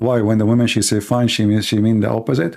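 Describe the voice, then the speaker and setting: A man's medium-pitched voice, dark and mellow in tone, with fairly even intonation. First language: not English. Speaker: livestream host, religious debater. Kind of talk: casual livestream monologue. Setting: live stream.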